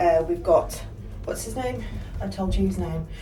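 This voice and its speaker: Over music in the background, a woman's voice carries audible room echo. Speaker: travel vlogger. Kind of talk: casual vlog chat. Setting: hotel room. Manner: hesitant, full of fillers.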